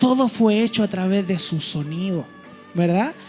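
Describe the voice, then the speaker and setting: Music plays in the background as a man speaks at a fairly slow pace. His pitch is high, with ordinary pitch variation. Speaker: preacher. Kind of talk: church sermon.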